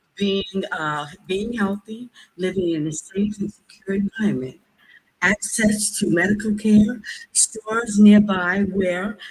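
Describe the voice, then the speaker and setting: With an American accent, a woman speaks at a fairly slow pace. Her medium-pitched voice is somewhat breathy. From US. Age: 70s. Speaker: public commenter, healthcare professional. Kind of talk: public comment at government meeting.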